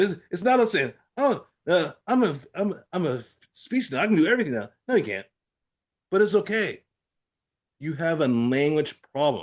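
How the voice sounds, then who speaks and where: Long, frequent pauses from a man with an American accent, high-pitched with very wide pitch swings, against a quiet background. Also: moderate pace. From Pittsburgh area, Pennsylvania. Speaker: stroke survivor with aphasia, advocate. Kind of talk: interview. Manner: halting, with word-finding trouble and repetitions.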